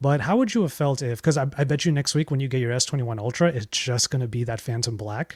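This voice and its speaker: A man talks at a very fast clip, barely pausing at all. His voice is somewhat breathy and medium-pitched, with ordinary pitch variation. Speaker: tech content creator, podcast co-host. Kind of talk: casual chat. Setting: online call recorded via streaming tool.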